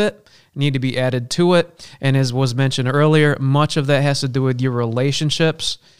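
Here is an unremarkable speaking voice, a man's with a fairly high pitch. He keeps a moderate pace and fairly even intonation. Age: 40s. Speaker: minister. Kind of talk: casual chat.

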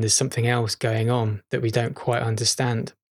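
A somewhat breathy male voice with a northwest English accent. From northern England, Chester. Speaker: podcast host. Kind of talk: casual monologue. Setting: at home, childhood home.

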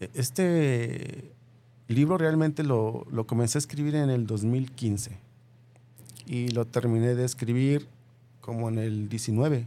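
A man with a dark, mellow tone and medium pitch talks at a very slow pace, with ordinary pitch variation and long, frequent pauses. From Mexico, Michoacán. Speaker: author. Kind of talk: interview.

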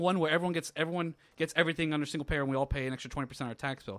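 Speaking very fast with an American accent, a man's fairly high voice comes through on a very clean recording with a silent background. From Florida. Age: 30s. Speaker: podcast co-host. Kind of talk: casual chat.

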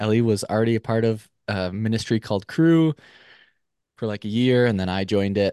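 In a plain, everyday voice with an American accent, a man speaks at a moderate pace with ordinary pitch variation, the sound dry and close with no echo against a quiet background. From Minnesota. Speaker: podcast guest. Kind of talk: casual chat.

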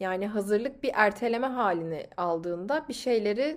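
Very wide pitch swings run through speech at a moderate pace. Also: woman. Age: 20s. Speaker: podcast host. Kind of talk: motivational monologue.

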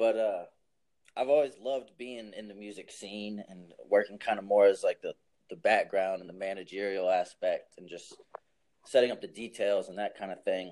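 Big swings in loudness mark the speech of a man with a Southern US accent. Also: moderate pace. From US South, New Orleans. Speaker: music artist manager. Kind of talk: casual chat.

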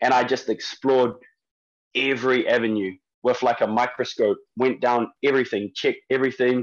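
At a fairly quick pace, a man with a medium pitch speaks in a monotone, flat intonation and very even loudness. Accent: New Zealand. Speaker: strength and conditioning coach. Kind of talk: interview. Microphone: internet connection dropped out.

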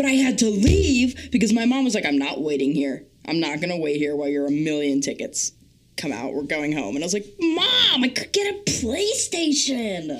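A woman speaks at a moderate pace with a fairly low pitch. Her pitch swings very widely, over noticeable background noise. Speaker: podcast co-host.

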